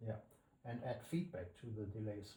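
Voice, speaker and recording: A man's fairly low, somewhat breathy voice, dark and mellow in tone, at a fairly slow pace with audible room echo. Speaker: plugin developer. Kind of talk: tutorial. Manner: halting.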